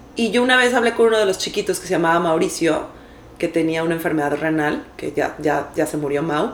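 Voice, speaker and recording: This woman's fairly quick delivery comes through with noticeable background noise around it. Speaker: podcast co-host. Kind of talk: casual chat.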